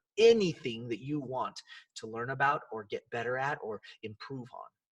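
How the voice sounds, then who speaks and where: Recorded with a dry, close sound and no echo, a man speaks in an animated tone. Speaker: life coach and podcast host. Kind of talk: motivational podcast monologue. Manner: fast.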